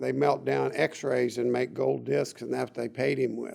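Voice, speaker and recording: A man talks with a Texas accent. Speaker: doctor. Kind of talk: interview.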